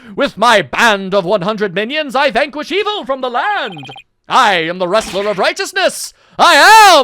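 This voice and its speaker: A booming, put-on character voice, female-sounding and fairly high, with very wide pitch swings at a moderate pace. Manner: booming, boastful, heroic.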